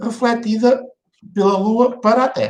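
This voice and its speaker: Fairly slowly, this man talks in an extremely high pitch. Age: 60s. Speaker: vlogger. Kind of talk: opinion monologue. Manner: halting, many fillers and repeats.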